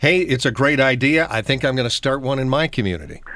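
A man with a plain, everyday voice talks at a fairly quick pace and a fairly high pitch. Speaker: radio host. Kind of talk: radio interview.

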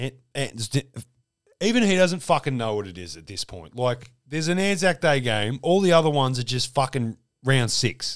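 With an Australian accent, a man speaks with very wide pitch swings and big swings in loudness, in a very clean recording with a silent background. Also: medium pitch for a man, moderate pace. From Melbourne, Australia. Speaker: sports podcast host. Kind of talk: casual chat.

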